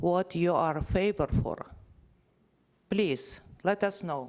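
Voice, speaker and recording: The speaker has a non-native accent and talks at a very slow pace. The recording is very clean, with a silent background. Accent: non-native accent, noticeable. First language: not English. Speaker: resident speaking at public meeting. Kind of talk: public comment at council meeting. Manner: halting.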